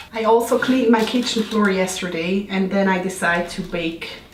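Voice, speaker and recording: Over noticeable background noise and audible room echo, a woman talks at a moderate pace with a medium pitch. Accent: Swiss. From Switzerland. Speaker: lifestyle vlogger. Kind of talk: baking tutorial. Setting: home kitchen. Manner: animated, playful, slips into put-on accents.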